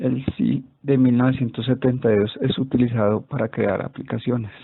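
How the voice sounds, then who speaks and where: An unremarkable speaking voice holds very even loudness and fairly even intonation at a moderate pace. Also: man, medium pitch for a man. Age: 30s. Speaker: student. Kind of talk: class presentation.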